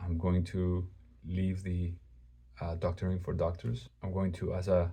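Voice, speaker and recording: A man with a very deep, low pitch and a dark, mellow tone speaks with fairly even intonation in a somewhat breathy voice. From Greece. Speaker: religious video creator. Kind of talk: personal testimony. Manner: halting; casual.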